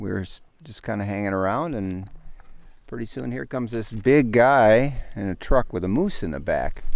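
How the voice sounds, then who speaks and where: A man with a fairly low voice and an American accent speaks at a moderate pace, his pitch varying in an ordinary way. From US, Chicago and Los Angeles. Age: 60s. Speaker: angler. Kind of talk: casual chat. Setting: outdoors. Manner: halting.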